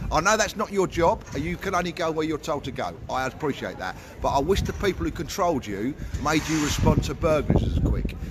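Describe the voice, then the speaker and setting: A man at a fairly high pitch and very fast pace, with lively intonation and noticeable background noise. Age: 60s. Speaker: army veteran and livestreamer. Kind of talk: heated argument with police officer. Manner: interrupting, talks over others.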